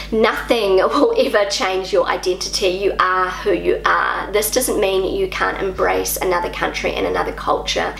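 A woman speaks with a New Zealand accent at a moderate pace. Audible room echo and light background noise are present. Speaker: YouTuber. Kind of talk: vlog monologue. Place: home room.

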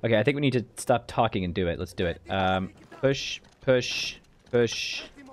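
At a moderate pace, a man with a fairly low voice talks with lively intonation.

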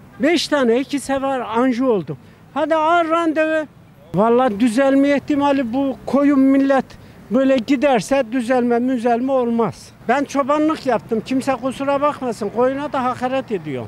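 Fairly slow speech, dry with no echo, over light background noise. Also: man, extremely high pitch for a man, ordinary pitch variation. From Turkey. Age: 70s. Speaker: retired shopkeeper, street interviewee; interviewee. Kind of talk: street interview. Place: street. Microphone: handheld.

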